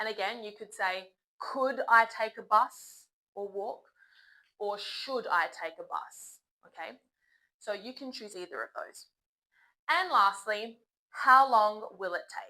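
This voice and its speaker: A woman with an Australian accent, fairly high pitch, bright, sharp tone, ordinary pitch variation, big swings in loudness, very slow pace, and long, frequent pauses. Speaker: English teacher. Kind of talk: tutorial. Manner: slow and clear, polite tone.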